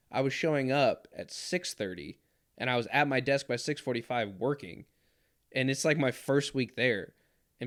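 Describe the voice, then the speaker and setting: Ordinary pitch variation and a moderate pace from a man at a medium pitch, on a very clean recording with a silent background. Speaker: former Marine, podcast host. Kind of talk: casual chat. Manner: loud; animated.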